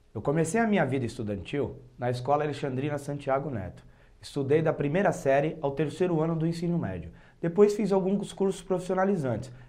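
A man's dark, mellow voice, fairly high in pitch, at a fairly quick pace. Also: lively intonation. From Praia Grande, São Paulo coast, Brazil; São Paulo, Brazil. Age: 30s. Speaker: local political candidate; candidate. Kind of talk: campaign speech. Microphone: lapel.

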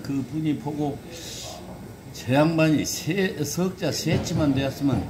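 Noticeable background noise sits behind a man speaking at a very slow pace. His pitch is fairly high, with ordinary variation. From South Jeolla, Korea. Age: 80s+. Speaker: elderly storyteller. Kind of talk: interview answer, recalling childhood stories. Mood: calm, reminiscent. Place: cafe. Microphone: phone near.

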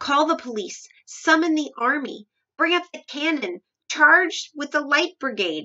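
In a put-on character voice, a woman speaks fairly slowly at a high pitch, her tone bright and sharp and her intonation lively.

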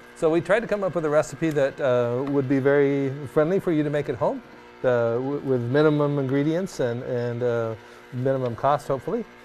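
Music can be heard behind the speaker. He is a man whose pitch moves in an ordinary way. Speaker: teacher on TV show. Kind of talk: tutorial. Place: studio.

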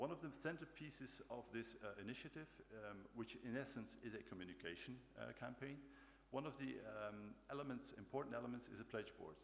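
A man speaks at a fairly quick pace with vocal fry and ordinary pitch variation over light background noise. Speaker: conference presenter. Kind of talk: conference talk. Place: hall. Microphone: podium.

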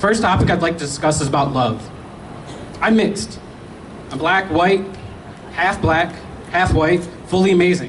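Over noticeable background noise, a man with a high pitch speaks at a moderate pace in an animated tone, with ordinary pitch variation and long, frequent pauses. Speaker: speaker. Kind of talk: rally speech with call-and-response; speech. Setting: outdoor rally with crowd. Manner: animated, crowd-rousing; personal and storytelling. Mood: personal, earnest. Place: street. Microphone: handheld.

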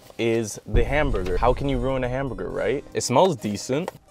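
A man's voice with a dry sound, no echo, and faint music in the background. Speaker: food reviewer. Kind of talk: casual vlog chat. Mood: playful, mildly unimpressed. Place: car. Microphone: lapel.

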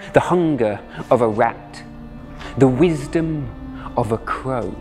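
A man at medium pitch, passionate and dramatic in tone, very slow in pace, with ordinary pitch variation and music in the background. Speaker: storyteller. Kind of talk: spoken-word story performance. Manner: passionate, dramatic.

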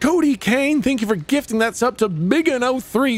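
A man at a fairly slow pace, with a dry sound and no echo. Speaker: game streamer. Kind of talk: casual stream chat reading viewer messages. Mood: playful, laughing. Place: home room.

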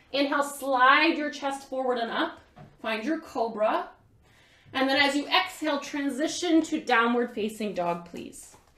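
There is audible room echo as a woman speaks in a calm tone. Her pitch is high and her pace fairly slow. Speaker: yoga instructor. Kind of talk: guided vinyasa yoga class, cueing breath-linked poses step by step. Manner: calm, rhythmic instructional cueing timed to inhales and exhales; casual and gentle, with frequent fillers like um, right, you know. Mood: calm, soothing. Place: home room. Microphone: camera far.

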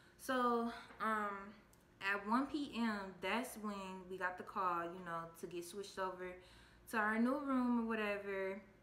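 Over audible room echo, a woman with a bright, sharp tone speaks at a fairly slow pace with ordinary pitch variation. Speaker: vlogger telling her birth story. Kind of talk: casual vlog chat. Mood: calm storytelling. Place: home room. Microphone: phone near.

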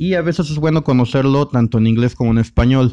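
A man's dark, mellow tone at a medium pitch. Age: 30s. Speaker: guitar teacher. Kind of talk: online masterclass.

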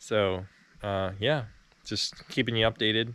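Speaking at a fairly slow pace, a man uses a fairly low pitch, and the sound is dry with no echo. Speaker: farm worker vlogger. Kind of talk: casual vlog chat. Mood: relaxed, a little unsure. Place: farm machine. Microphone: phone near.

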